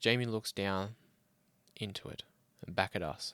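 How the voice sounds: A man speaks at a fairly slow pace with a fairly low pitch, ordinary pitch variation, a clear, smooth and fairly bright tone, and a dry, close sound with no echo.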